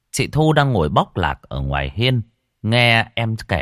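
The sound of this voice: The reading voice here is unforced. Behind it, everything stays quiet.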